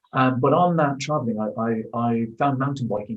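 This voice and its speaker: In an Irish accent, a man talks at a fairly quick pace with a medium pitch and fairly even intonation. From Ireland. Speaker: amateur cyclist, record holder. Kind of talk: interview. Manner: halting, many fillers.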